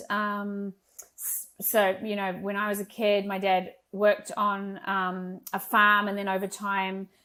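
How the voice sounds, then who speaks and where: Bright and sharp in tone, a woman with a slight New Zealand accent speaks with fairly even intonation. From rural New Zealand. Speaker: entrepreneur. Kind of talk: podcast interview.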